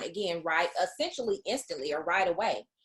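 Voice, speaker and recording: In a Southern US accent, a woman speaks at a medium pitch. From US South. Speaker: business coach. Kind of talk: online masterclass presentation. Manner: casual with frequent fillers.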